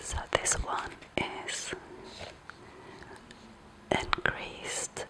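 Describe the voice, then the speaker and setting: A whispered voice moves at a very slow pace over noticeable background noise. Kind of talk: casual explanation to camera showing printed papers. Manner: soft-spoken, whispering.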